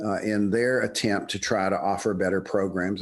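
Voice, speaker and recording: Against a quiet background, a man with a Southern US accent speaks at a moderate pace. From US South, Birmingham, Alabama. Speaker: business professor. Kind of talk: interview. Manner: halting, with many fillers and repetitions.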